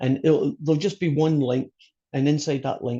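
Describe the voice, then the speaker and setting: This man speaks with a Scottish accent at a moderate pace, his dark, mellow tone somewhat breathy and his pitch varying in an ordinary way. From Scotland. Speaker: college math instructor. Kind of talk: online class lecture. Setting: video call.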